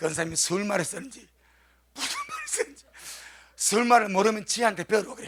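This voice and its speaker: Noticeable background noise runs under this recording. A man talks at a fairly quick pace with a high pitch. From South Korea, Gyeongsang region (Busan). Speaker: pastor. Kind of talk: sermon.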